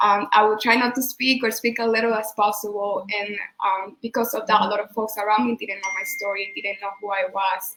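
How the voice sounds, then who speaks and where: A woman's fairly high voice, fairly even in intonation and fairly quick in pace, against noticeable background noise. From Venezuela. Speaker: immigrant organizer. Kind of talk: panel discussion.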